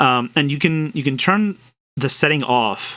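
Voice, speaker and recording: Bright and sharp in tone, a man speaks at medium pitch and a moderate pace with ordinary pitch variation. The recording is very clean, with a silent background. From Spain. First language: Spanish. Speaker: programmer streaming his work. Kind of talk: live coding stream, casual commentary. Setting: live stream. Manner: hesitant, many repetitions and fillers.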